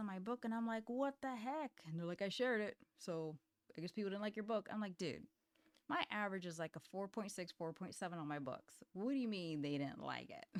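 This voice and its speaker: A woman with a plain, everyday voice talks at a fairly quick pace and medium pitch, with lively intonation. The sound is dry and close with no echo. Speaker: indie author and software founder. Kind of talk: casual vlog talk. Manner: casual, with fillers.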